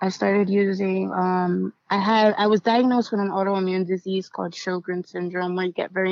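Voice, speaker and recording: Here is an ordinary speaking voice with fairly even intonation. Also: woman. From US inner city, Puerto Rican family. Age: 30s. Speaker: writer, poet and motivational speaker in recovery. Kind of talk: personal testimony in podcast interview. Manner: casual, with many fillers.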